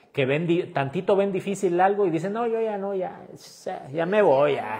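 Against a quiet background, a man with a dark, mellow tone speaks fairly slowly with lively intonation. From Mexico, Chiapas (Tuxtla Gutiérrez); Chiapas, Mexico. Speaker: street food content creator. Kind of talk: livestream chat reading viewer comments. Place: home room. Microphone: lapel.

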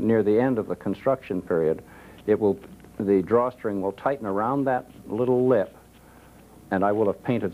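The pace is moderate and the pitch varies in an ordinary way. A man speaks in a fairly low voice. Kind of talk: tutorial. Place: studio.

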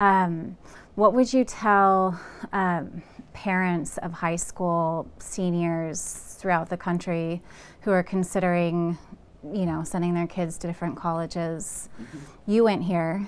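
This is a normal speaking voice. It moves at a fairly slow pace with fairly even intonation. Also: woman, fairly low pitch for a woman. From California, Santa Cruz area; California. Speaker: real estate agent and video host; interviewer. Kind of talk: interview. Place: office.

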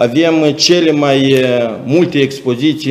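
Very slowly, a man talks with a fairly high pitch. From Moldova. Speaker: chamber of commerce official. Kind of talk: presentation. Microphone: webcam.

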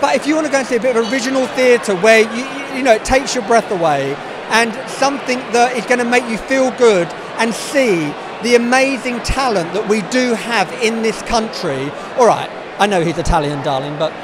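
Noticeable background noise and a dry sound with no echo. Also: man, fairly quick pace. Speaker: audience member. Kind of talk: interview answer. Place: hall. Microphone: handheld.

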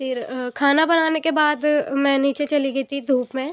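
A woman talks at a fairly slow pace in a high pitch, her intonation monotone and flat. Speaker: vlogger. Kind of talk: casual vlog narration. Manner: hesitant, many fillers.

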